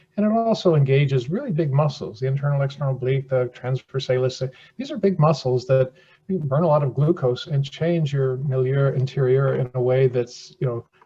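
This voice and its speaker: Pitched fairly high, a man talks at a fairly quick pace with ordinary pitch variation. His voice is somewhat breathy. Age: 70s. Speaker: surgeon and chair inventor. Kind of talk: podcast interview. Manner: repetitive false starts; animated.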